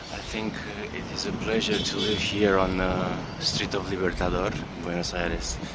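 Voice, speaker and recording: A man with a Romanian accent and a very deep, low pitch speaks at a moderate pace with ordinary pitch variation, amid audible room echo and noticeable background noise. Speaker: travel vlogger. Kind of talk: travel vlog narration. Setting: outdoors, walking in city. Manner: halting, many fillers.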